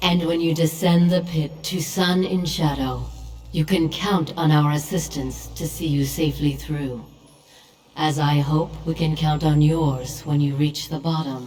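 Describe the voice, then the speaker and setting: In a put-on character voice, the speaker holds a middle pitch at a moderate pace. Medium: video game. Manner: solemn, authoritative.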